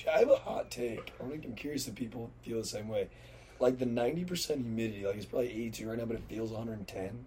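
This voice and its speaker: Here a man speaks at a fairly quick pace and medium pitch with ordinary pitch variation. His tone is dark, mellow and somewhat breathy. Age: 20s. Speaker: podcast co-host. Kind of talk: casual chat.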